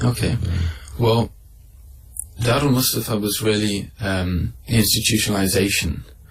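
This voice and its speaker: With a Mancunian accent, a man speaks at a fairly low pitch and a fairly slow pace. Long, frequent pauses break up his speech over noticeable background noise. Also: ordinary pitch variation. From Manchester, England. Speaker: Islamic scholar. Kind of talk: radio interview answer.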